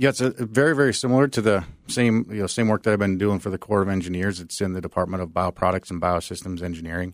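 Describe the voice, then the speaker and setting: Talking at a very fast pace with hardly any pauses, a man uses a fairly low pitch and ordinary pitch variation, captured in a very clean recording with a silent background and a dry, close sound with no echo. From Minnesota. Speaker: retired army sergeant major, engineering agency staff. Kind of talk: radio interview.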